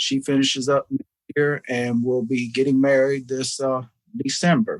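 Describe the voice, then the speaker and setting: Someone with a Southern US accent talks at a fairly slow pace with ordinary pitch variation, in a dry, close sound with no echo. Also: man. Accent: Southern US (Georgia). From US South, Georgia (Savannah area). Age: 60s. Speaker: foundation founder, businessman. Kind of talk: radio interview. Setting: studio.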